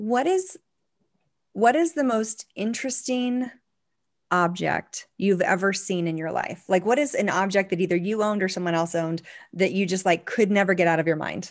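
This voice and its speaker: Spoken at a moderate pace in an ordinary speaking voice with an American accent and ordinary pitch variation. The recording is very clean, with a silent background. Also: woman, medium pitch for a woman. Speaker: professional organizer. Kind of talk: casual interview chat.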